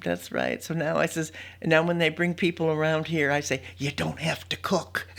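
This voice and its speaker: A woman's very deep, low voice with vocal fry, at a moderate pace. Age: 80s+. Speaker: retiree. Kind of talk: casual chat.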